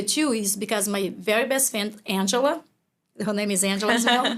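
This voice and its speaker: Speaking with a Brazilian accent, a woman keeps a moderate pace and a medium pitch with ordinary pitch variation. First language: Portuguese. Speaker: business owner. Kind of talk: interview conversation. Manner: halting.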